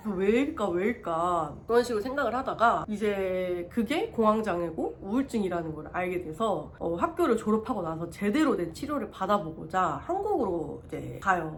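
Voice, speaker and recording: Over noticeable background noise and audible room echo, a woman speaks at medium pitch and a moderate pace, with lively intonation and hardly any pauses. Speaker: vlogger. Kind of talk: personal testimony. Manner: halting.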